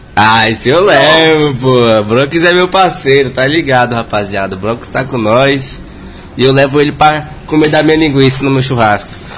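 A man speaks at a moderate pace and medium pitch with ordinary pitch variation, with audible room echo and noticeable background noise. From Brazil, Brasília. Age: 20s. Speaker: funk MC. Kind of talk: casual chat.

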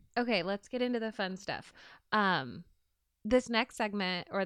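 A woman talks in a normal speaking voice at a moderate pace, with ordinary pitch variation over a quiet background. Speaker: podcast co-host. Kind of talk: casual chat.

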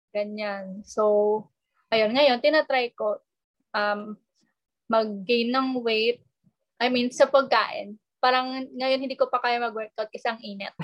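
Very slowly and with long, frequent pauses, a woman speaks in a high pitch with fairly even intonation. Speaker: architecture student. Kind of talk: casual chat.

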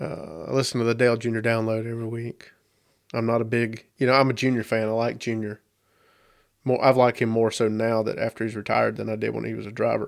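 Over a very clean, silent background, a man with a Southern US accent races along at a very fast pace, medium in pitch and flat and monotone in intonation. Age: 30s. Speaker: podcast host. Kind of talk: casual monologue.

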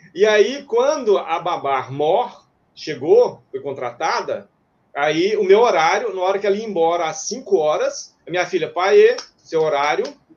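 This man talks at a moderate pace in a high pitch, his intonation lively. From Minas Gerais, Brazil. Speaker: retired runner and miles investor. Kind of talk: interview.

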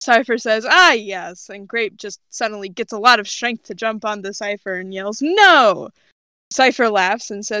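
This is someone reading aloud in a natural voice against a quiet background.

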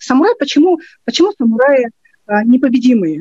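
A woman speaks in a high pitch with a dark, mellow tone and very wide pitch swings, in a dry, close sound with no echo. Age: 40s. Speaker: philologist and language teacher. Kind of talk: interview advice. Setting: remote call.

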